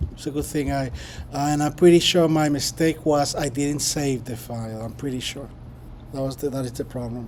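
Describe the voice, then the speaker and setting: Talking at a fairly quick pace, a man with fairly high pitch keeps a fairly even intonation in audible room echo. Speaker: professor. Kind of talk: lecture. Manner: halting, many fillers.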